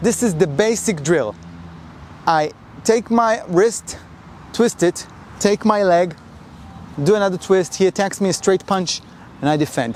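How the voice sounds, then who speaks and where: With a non-native accent, a man speaks in a high pitch at a fairly slow pace, using ordinary pitch variation. His loudness stays very even, broken by long, frequent pauses. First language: not English. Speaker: karate instructor. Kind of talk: tutorial. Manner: halting.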